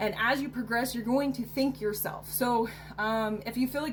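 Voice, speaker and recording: A woman talks with a fairly high pitch. Music can be heard in the background. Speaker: self-help vlogger. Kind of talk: casual advice monologue to camera. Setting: recording to camera. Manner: halting, with fillers.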